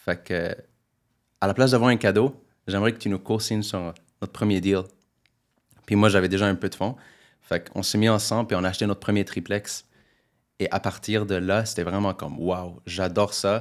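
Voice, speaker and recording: A man with fairly low pitch speaks at a moderate pace with fairly even intonation, in a very clean recording with a silent background. His loudness swings widely, and he leaves long, frequent pauses. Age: 20s. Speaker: real estate investor. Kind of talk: interview. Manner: casual.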